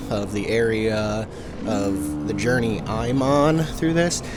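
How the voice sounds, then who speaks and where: A man's lively intonation, with audible room echo and noticeable background noise. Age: 30s. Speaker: dirt bike rider and vlogger. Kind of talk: voice-over commentary. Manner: rambling, halting with many fillers.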